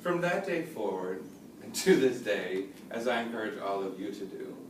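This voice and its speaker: With audible room echo, a man speaks at a moderate pace and medium pitch, making very wide pitch swings. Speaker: college student. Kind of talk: speech.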